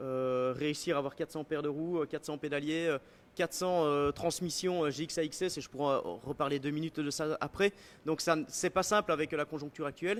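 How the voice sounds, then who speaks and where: A man with a Belgian accent talks at a fairly quick pace, his pitch fairly high and his intonation fairly even. The sound is dry and close with no echo, on a very clean recording with a silent background. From Belgium. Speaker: bike product designer. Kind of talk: live product presentation. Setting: live stream at design centre. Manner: hesitant, many fillers.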